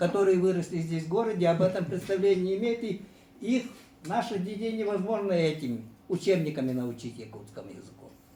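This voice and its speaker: Amid audible room echo, a man with a high pitch and a dark, mellow tone talks at a fairly quick pace with lively intonation and big swings in loudness. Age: 70s. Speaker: sports journalist, former teacher. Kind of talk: panel discussion. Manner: hesitant, with frequent fillers.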